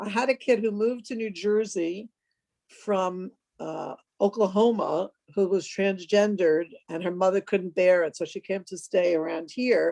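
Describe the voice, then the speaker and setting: A woman with a New York accent has a dark, mellow tone at a medium pitch, with ordinary pitch variation. She speaks at a moderate pace in a dry, close sound with no echo. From New York City (Washington Heights). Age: 60s. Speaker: psychiatric nurse practitioner. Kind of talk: interview. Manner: casual, filler-heavy.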